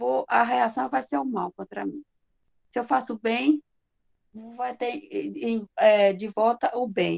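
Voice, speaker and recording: At a fairly slow pace, a woman speaks in a high voice with ordinary pitch variation. The sound is dry and close, with no echo. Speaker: spiritist course presenter. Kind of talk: lecture.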